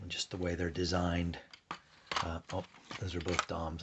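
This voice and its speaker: Soft-spoken and very deep in pitch, a man talks at a fairly quick pace with noticeable background noise. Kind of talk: ASMR product review. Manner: quiet, soft-spoken.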